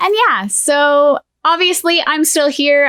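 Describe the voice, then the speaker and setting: A woman talks with ordinary pitch variation. The sound is dry and close, with no echo. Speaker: paranormal and storytime YouTuber. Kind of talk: casual talk to camera, storytime.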